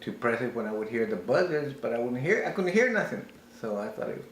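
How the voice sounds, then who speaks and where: The speaker is a man with a medium-pitched voice. Audible echo from the room surrounds his words. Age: 60s. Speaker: war veteran with hearing loss. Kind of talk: interview. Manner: halting.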